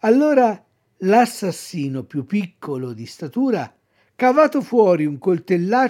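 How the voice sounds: Quiet background behind a natural reading voice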